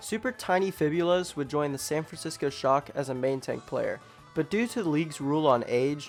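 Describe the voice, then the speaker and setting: Music plays in the background while a man speaks at a fairly quick pace. His pitch is fairly high and his intonation lively. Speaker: fan documentary narrator. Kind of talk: comedic documentary narration.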